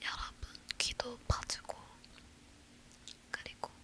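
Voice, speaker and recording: Very slow whispering from a woman over noticeable background noise. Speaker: ASMR creator. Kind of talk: talking ASMR, casual chatty talk to viewers. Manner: soft, whispered.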